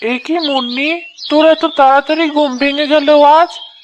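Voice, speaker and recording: A woman puts on a cartoonish character voice, high in pitch, with fairly even intonation at a moderate pace. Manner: gentle, caring.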